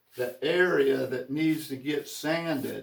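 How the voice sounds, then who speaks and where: Using a plain, everyday voice, a man speaks with a fairly high pitch and fairly even intonation. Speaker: woodworker. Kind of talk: tutorial.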